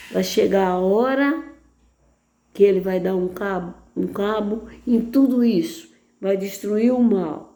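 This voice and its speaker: A woman's dark, mellow voice at medium pitch, very slow with long, frequent pauses and ordinary pitch variation, in audible room echo. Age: 80s+. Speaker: lay preacher. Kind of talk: sermon.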